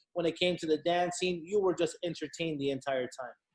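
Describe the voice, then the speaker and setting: A man with a Miami accent, high-pitched, at a fairly quick pace with fairly even intonation. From Hialeah, Miami, Florida. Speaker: event company co-owner and CFO. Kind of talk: podcast guest interview.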